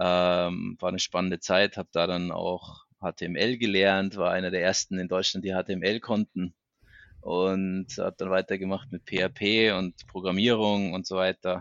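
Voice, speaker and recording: The speaker is a man with a very deep, low pitch. He talks at a fairly slow pace with monotone, flat intonation. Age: 40s. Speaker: IT manager. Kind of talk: interview.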